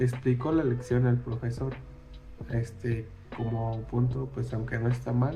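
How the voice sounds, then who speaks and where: Music plays in the background while a man speaks at a very slow pace. His pitch is medium, and the room echo is audible. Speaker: student. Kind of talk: class presentation. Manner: hesitant, many fillers.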